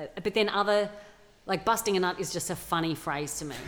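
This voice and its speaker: A woman's fairly low voice in an Australian accent, with ordinary pitch variation and a moderate pace. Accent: Australian, regional. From regional Australia. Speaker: comedian and actor. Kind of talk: casual interview.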